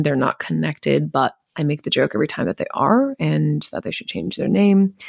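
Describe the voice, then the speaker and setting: A woman with an Inland Northwest accent at a fairly quick pace, in a dry, close sound with no echo. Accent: American (Inland Northwest). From Montana, US (Missoula). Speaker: travel podcast host. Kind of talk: casual solo monologue.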